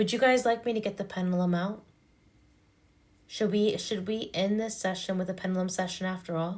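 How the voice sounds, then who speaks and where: Delivered at a fairly quick pace, the voice has a calm tone and fairly even intonation. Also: woman, medium pitch for a woman. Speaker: hypnotherapist and energy reader. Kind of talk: livestream chat.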